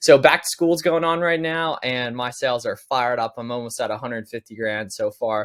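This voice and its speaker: Over a quiet background, a man talks fairly quickly with hardly any pauses and ordinary pitch variation. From Pennsylvania. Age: 20s. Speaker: online seller and business coach; online seller, business coach. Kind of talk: tutorial. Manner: casual, conversational. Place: home room.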